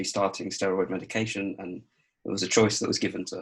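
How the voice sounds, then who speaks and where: In a southern English accent, a man speaks at a moderate pace with a fairly low pitch and monotone, flat intonation. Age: 20s. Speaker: adult with muscular dystrophy, interviewee. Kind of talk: interview. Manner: hesitant, many fillers.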